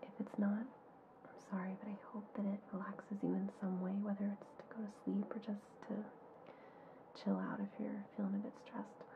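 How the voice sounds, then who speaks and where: Soft-spoken and at a fairly quick pace, a woman speaks in a medium pitch with flat, monotone intonation and long, frequent pauses over noticeable background noise. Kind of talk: ASMR. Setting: muffled home recording.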